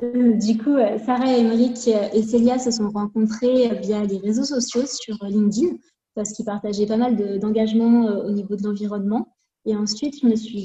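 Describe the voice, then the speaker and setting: A woman's dark, mellow, somewhat breathy voice, with fairly even intonation at a moderate pace. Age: 20s. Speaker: cosmetics formulator and brand co-founder. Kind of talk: interview.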